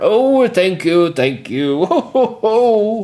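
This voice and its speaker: A man puts on a high-pitched character voice and speaks at a very slow pace. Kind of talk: laughing 'ho, ho, ho'. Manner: pompous, jolly.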